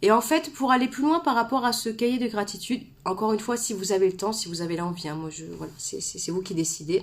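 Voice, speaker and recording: A woman talks with lively intonation and a fairly high pitch. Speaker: author and personal development coach. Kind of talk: live stream talk to viewers. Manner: fast, gets carried away; hesitant fillers, repeats words.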